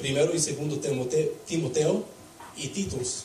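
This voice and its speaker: At a fairly slow pace, a man speaks with audible room echo and noticeable background noise. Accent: non-native. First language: English (speaking Spanish). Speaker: preacher. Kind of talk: sermon. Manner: halting.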